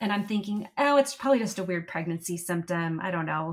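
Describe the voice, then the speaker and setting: A somewhat breathy woman's voice at medium pitch and a moderate pace. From US, military family, moved around. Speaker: patient sharing illness experience. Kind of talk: interview conversation.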